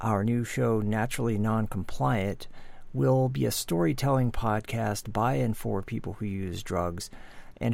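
This man has a normal speaking voice, fairly low in pitch. He speaks at a moderate pace with lively intonation. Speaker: co-producer and intro reader. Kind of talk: scripted intro and outro.

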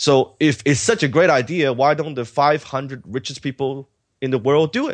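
At a moderate pace and with ordinary pitch variation, a man speaks over a quiet background in a dry, close sound with no echo. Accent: Cantonese. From Hong Kong, then Vancouver from age 14. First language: Cantonese. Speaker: entrepreneur and author. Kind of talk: interview.

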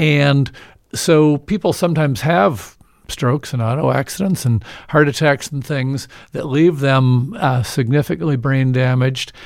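A man with an American accent has a normal speaking voice, pitched fairly high with ordinary pitch variation. He keeps a moderate pace in a very clean recording with a silent background. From Evansville, Indiana. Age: 60s. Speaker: physician and health care advocate. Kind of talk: radio interview. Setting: studio.

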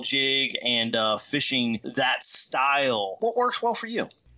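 Noticeable background noise sits behind a man whose fairly high voice moves through very wide pitch swings. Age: 40s. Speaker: fishing podcast host. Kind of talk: casual chat.

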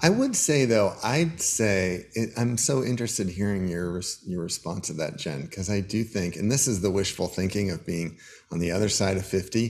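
With a fairly low pitch and ordinary pitch variation, a man talks at a moderate pace in an unremarkable speaking voice. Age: 50s. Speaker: leadership coach. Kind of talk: interview.

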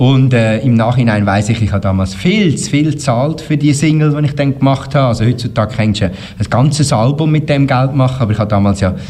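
Noticeable background noise and audible room echo surround a man at medium pitch. He talks at a fairly quick pace with very even loudness and ordinary pitch variation. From Switzerland, Canton Uri. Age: 50s. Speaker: schlager singer and radio presenter. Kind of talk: interview.

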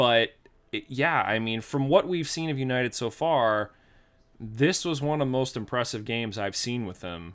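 A man with an American accent speaks in a normal speaking voice at medium pitch and a moderate pace, his intonation lively, on a very clean recording with a silent background. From Pittsburgh, Pennsylvania. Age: 30s. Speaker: podcast host. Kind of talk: casual chat.

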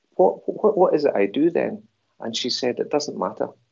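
A man with a Glaswegian accent. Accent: Glaswegian Scottish. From Scotland, Glasgow. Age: 60s. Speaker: movement and stress coach. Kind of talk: interview. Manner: halting.

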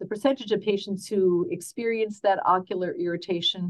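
A woman talks at a very fast pace. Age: 60s. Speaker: optometrist. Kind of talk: expert interview.

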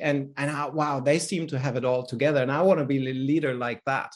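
A man with a fairly high pitch and a German accent. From Germany, Berlin. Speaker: business coach and author. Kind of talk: interview.

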